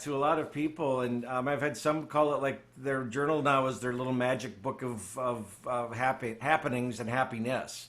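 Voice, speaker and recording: A man talks at a moderate pace with hardly any pauses. His tone is bright and sharp, his intonation fairly even. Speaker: spiritual study group leader. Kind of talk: study group teaching.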